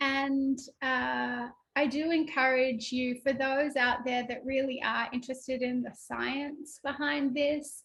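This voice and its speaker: Very slowly, a woman speaks with an Australian accent. Her voice is high-pitched. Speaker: spiritual workshop teacher. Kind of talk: online workshop talk.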